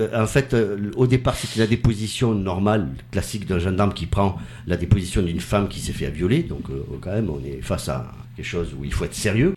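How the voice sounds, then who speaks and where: Lively intonation from a man with a fairly low pitch at a fairly quick pace, over noticeable background noise. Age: 50s. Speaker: actor. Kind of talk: casual chat.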